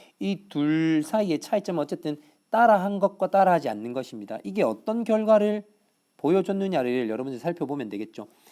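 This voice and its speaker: A man with a high pitch and a dark, mellow tone makes very wide pitch swings, on a very clean recording with a silent background. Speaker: high school English teacher. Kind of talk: recorded lecture. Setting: tablet whiteboard recording.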